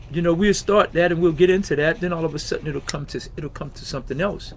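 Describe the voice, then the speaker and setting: Over noticeable background noise, a man with a high pitch and ordinary pitch variation talks at a fairly quick pace. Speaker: podcast host. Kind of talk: personal testimony on podcast. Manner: loud; conversational with many fillers.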